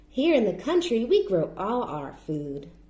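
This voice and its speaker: A put-on character voice with very wide pitch swings, at a moderate pace. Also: woman, fairly high pitch for a woman. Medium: read story.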